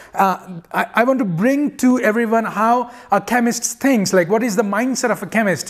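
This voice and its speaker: At a moderate pace and with fairly even intonation, a man speaks in a high pitch against a quiet background. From India. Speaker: geochemist and chemistry teacher. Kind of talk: channel introduction monologue. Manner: hesitant, many fillers and repetitions. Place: home room.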